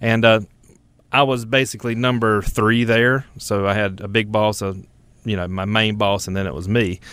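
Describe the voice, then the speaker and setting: Speaking at a moderate pace, a man uses a fairly low pitch and fairly even intonation. He talks with a North Carolina accent. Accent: North Carolina Southern. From North Carolina, Richmond County. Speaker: fruit company general manager. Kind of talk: casual chat.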